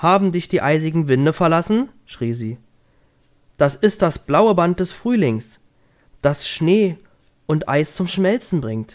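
A man with a high pitch and a gentle, soothing tone, lively intonation, a very slow pace and long, frequent pauses, on a very clean recording with a silent background. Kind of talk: bedtime story reading aloud. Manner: gentle, soothing, slow storytelling pace.

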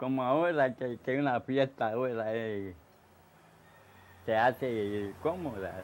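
A man speaks at a very slow pace, his pitch medium and its variation ordinary. Long pauses come often. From Puerto Rico. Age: 80s+. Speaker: elderly resident recalling the past. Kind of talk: interview answer. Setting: outdoors. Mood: cheerful, nostalgic. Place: home room.

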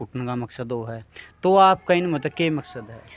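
Lively intonation marks a man's fairly high voice in a Haryanvi accent. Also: dry sound with no echo. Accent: Haryanvi-accented Hindi. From Haryana, India. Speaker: local news reporter. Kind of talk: field interview. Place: home room. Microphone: handheld.

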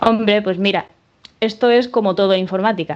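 A woman with a Spanish accent speaks with fairly even intonation against a quiet background. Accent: Spanish (Spain). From Spain, Málaga; Spain. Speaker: software developer. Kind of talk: conference talk. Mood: relaxed, humorous. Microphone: video call.

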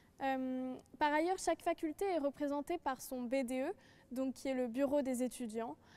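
A woman with a high pitch and a dark, mellow tone speaks at a fairly slow pace with ordinary pitch variation. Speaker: law student. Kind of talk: panel presentation. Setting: studio. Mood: enthusiastic, promotional. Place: hall.

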